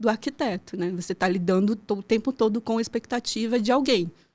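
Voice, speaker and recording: Talking at a fairly quick pace with a slight Pará accent, a woman uses a fairly high pitch and ordinary pitch variation in a very clean recording with a silent background. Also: hardly any pauses. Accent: slight northern Brazilian (Pará). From Brazil, childhood in Pará and moving around. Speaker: architect and urban planning professor. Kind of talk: podcast interview.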